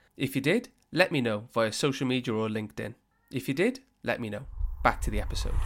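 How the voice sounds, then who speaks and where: A man with a Welsh accent talks at a very fast pace. He leaves long, frequent pauses. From Wales. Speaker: podcast host. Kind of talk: interview.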